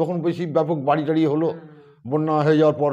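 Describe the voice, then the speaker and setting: The pitch of this man's voice is fairly high. His tone is dark and mellow. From West Bengal, India. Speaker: cremation worker and mason. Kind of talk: interview answer. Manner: casual, rambling.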